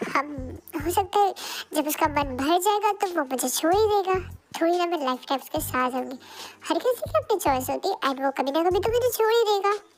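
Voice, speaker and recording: Putting on a character voice, a woman speaks at an extremely high pitch with faint music in the background. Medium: read story. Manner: soft, hesitant.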